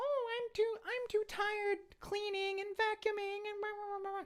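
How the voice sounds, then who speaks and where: This put-on character voice sits at an extremely high pitch and moves at a moderate pace with monotone, flat intonation. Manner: lazy, complaining.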